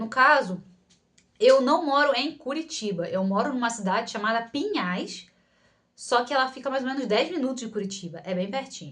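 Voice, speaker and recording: Using a Rio de Janeiro accent, a woman talks at a moderate pace with a high pitch and lively intonation. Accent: carioca. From Rio de Janeiro, Brazil. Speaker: psychologist and video creator. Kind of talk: Q&A vlog, casual talk to camera. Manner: casual, many fillers and restarts.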